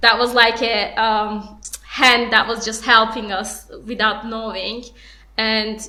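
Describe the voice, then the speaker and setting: A woman with a non-native accent speaks at a fairly slow pace in a fairly high, bright and sharp voice, her intonation flat and monotone, with audible echo in the room. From outside the UK. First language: not English. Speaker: young entrepreneur, award winner. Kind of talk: panel discussion.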